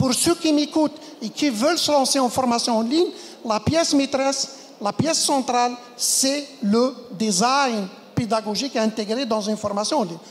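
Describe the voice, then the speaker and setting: A woman speaks with a high pitch and ordinary pitch variation. Noticeable background noise runs under her voice. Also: moderate pace. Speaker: conference speaker, medical educator. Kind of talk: conference talk.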